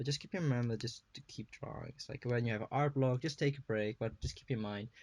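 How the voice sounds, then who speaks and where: A very fast, somewhat breathy man at medium pitch, with ordinary pitch variation. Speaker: digital artist. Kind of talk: casual drawing tutorial narration.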